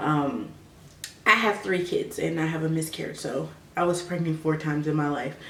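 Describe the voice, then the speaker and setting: A soft-spoken voice moves at a moderate pace, with audible room echo and noticeable background noise. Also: woman. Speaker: vlogger. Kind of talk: personal advice vlog.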